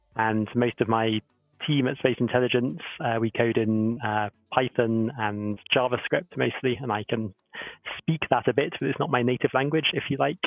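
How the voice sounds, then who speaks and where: With a southern English accent, a man of medium pitch speaks at a moderate pace. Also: ordinary pitch variation. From southern England, Oxford. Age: 30s. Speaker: professor and company co-founder. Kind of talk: panel Q&A on live stream.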